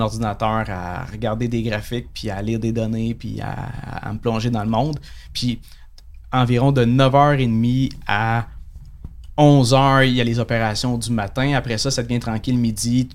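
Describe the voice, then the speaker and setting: Fairly slow and fairly even in intonation, a man talks at medium pitch. His is an unremarkable speaking voice. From Quebec, Saguenay (Chicoutimi). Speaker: day trader and trading instructor. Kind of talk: casual interview.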